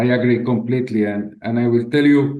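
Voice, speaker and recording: Medium-pitched male voice, dark and mellow in tone, monotone and flat at a moderate pace, with audible room echo. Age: 60s. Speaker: head of a memorial institution. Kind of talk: interview. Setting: video call. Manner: halting, with frequent repetitions.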